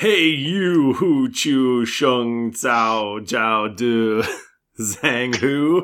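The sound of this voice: In a put-on character voice, a man booms at a medium pitch and a very slow pace.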